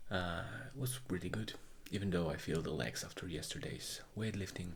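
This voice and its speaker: A man speaks with a Polish accent in a somewhat breathy voice. Audible room echo surrounds him. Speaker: vlogger, amateur runner. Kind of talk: video diary.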